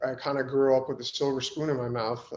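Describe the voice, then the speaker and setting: A man's medium-pitched, monotone, flat voice in a New York accent. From Long Island, New York. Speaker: professional MMA fighter. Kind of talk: podcast interview. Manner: hesitant, many fillers.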